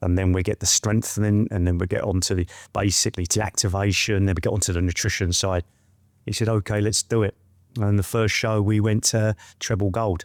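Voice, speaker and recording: With an English accent, a man speaks fairly quickly in a monotone, flat way at a very even loudness, the sound dry and close with no echo on a very clean recording with a silent background. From West London, England. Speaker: trichologist and hair product maker. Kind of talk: casual interview chat. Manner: soft-spoken.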